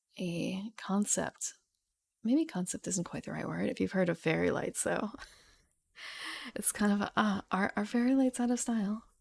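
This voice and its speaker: The recording is very clean with a silent background. A woman with a somewhat breathy voice speaks at a medium pitch, with ordinary pitch variation and long, frequent pauses. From place where people speak fast. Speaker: streamer reading a tabletop game book. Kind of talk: livestream reading aloud and chat. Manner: slow, deliberate; tends to speed up.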